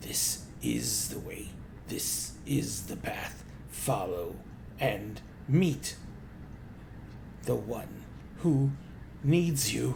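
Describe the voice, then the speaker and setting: A croaky put-on character voice at a very slow pace with long, frequent pauses, over clear background noise and hissing. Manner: eerie, ominous.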